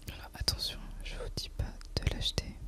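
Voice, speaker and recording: Over noticeable background noise, a woman's whisper unfolds at a very slow pace. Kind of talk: ASMR gameplay commentary. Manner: whispered.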